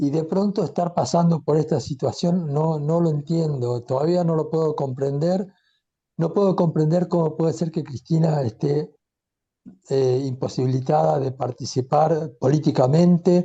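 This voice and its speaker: At a moderate pace, a man speaks with a fairly high pitch, a dark, mellow tone and fairly even intonation. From Argentina. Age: 70s. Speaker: audience participant. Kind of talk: personal comment in discussion.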